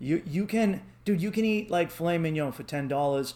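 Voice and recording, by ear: A man with a Boston accent, at a fairly quick pace and with ordinary pitch variation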